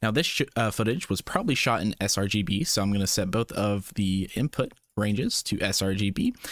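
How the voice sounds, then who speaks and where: The man's fairly low voice holds a very even loudness at a fairly quick pace, with hardly any pauses. The sound is dry and close, with no echo. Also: ordinary pitch variation. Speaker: VFX tutorial creator. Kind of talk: tutorial. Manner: fast; casual.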